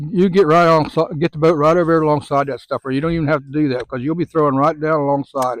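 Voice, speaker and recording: A very fast voice with a Southern US accent against a quiet background. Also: man, dry, close sound with no echo. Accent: US South. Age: 70s. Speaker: fishing guide. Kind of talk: casual chat. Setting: outdoors. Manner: casual, repetitive fillers.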